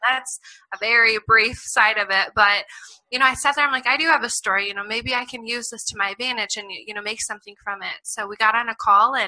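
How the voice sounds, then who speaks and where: A woman with an American accent talks at a fairly quick pace. Her fairly high pitch shows ordinary variation. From Iowa, US Midwest. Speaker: author and foster care advocate. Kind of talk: interview. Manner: loud; animated.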